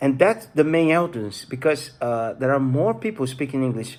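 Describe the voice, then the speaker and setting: On a very clean recording with a silent background, a man with a non-native accent speaks at a fairly quick pace. His pitch is medium and his intonation lively. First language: Portuguese. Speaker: YouTuber. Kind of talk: casual vlog talk. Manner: halting.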